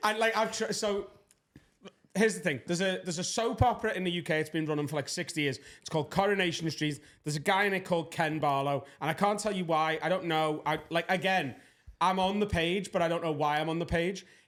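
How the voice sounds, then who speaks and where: A man speaks at a very fast pace with a Scouse accent. His voice sits high for a man, with ordinary pitch variation. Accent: Scouse (Liverpool) English. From England, Liverpool. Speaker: stand-up comedian, podcast guest. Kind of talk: casual podcast chat, storytelling.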